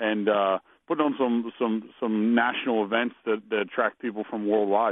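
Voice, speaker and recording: In an American accent, a man with a medium-pitched voice speaks in a monotone, flat way. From Pennsylvania. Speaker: sprint car driver. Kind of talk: interview. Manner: halting.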